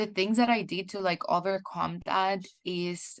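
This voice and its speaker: Medium pitch from a woman, set against a quiet background. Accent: Spanish. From El Salvador. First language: Spanish. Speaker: PhD student in chemical engineering. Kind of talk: webinar interview.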